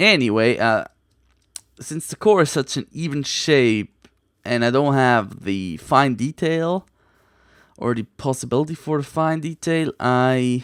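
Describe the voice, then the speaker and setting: Speaking at a fairly slow pace with lively intonation, a man with a non-native accent and a medium pitch is heard in a dry, close sound with no echo on a very clean recording with a silent background. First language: not English. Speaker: gaming video creator. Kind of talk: let's play commentary. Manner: casual, conversational.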